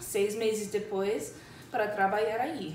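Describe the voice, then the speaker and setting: A woman speaks with a non-native accent and a fairly high pitch. Audible room echo is present. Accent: foreign accent in Portuguese. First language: English (speaking Portuguese). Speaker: English teacher. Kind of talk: casual chat. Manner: halting.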